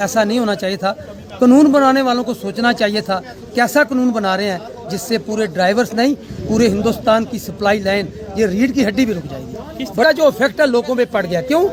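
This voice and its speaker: High-pitched male voice with lively intonation at a moderate pace, crowd noise in the background. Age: 60s. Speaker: transporter, former truck driver. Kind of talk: street interview, protest statement.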